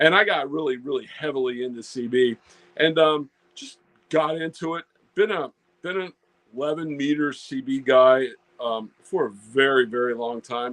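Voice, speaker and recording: A man's fairly high voice at a moderate pace, with ordinary pitch variation and big swings in loudness. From Virginia, US South. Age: 60s. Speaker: ham radio YouTuber. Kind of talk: casual interview chat. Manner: halting, many fillers.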